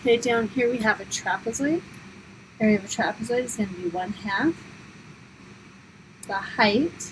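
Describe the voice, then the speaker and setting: A woman's fairly high voice at a moderate pace with ordinary pitch variation, amid noticeable background noise. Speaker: high school math teacher. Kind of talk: tutorial.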